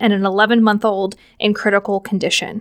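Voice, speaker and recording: Recorded very cleanly against a silent background, a woman talks at a fairly quick pace and a fairly high pitch, the sound dry and close with no echo. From Pittsburgh area, Pennsylvania. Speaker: podcast host. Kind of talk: solo news wrap-up. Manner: upbeat.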